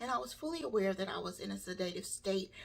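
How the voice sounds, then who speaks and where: A woman talking at a fairly quick pace. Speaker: burn survivor vlogger. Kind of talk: personal testimony. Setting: home video by a window. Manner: halting.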